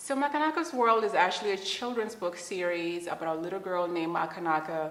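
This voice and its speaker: Noticeable background noise and audible room echo surround a woman speaking with a Zimbabwean accent. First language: Shona. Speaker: children's book author. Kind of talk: interview.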